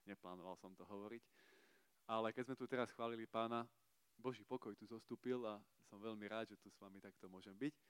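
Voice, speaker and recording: A man at medium pitch, very fast with long, frequent pauses, fairly even intonation and big swings in loudness, in a dry, close sound with no echo. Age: 30s. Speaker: preacher at youth service. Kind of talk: sermon.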